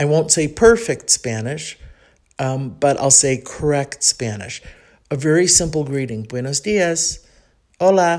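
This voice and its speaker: A woman with a Chicago accent speaks at a very deep, low pitch and a fairly slow pace. Her tone is animated and her intonation lively. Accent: Chicago Midwestern American English. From Chicago, US Midwest. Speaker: podcaster living abroad. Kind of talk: solo podcast monologue, casual. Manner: chatty, self-deprecating, animated.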